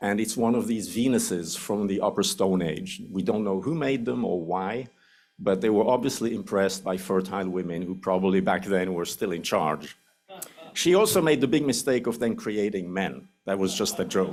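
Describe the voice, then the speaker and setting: A man talks in a Swiss accent with a fairly low voice. The room echo is audible. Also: ordinary pitch variation, moderate pace. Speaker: anthropology professor. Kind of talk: lecture. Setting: lecture hall with audience.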